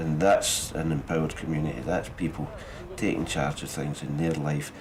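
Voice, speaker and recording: A man with a Scottish accent and a very deep, low pitch speaks at a moderate pace. His intonation is fairly even, with noticeable background noise behind him. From Scotland. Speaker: actor and director. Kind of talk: interview answer.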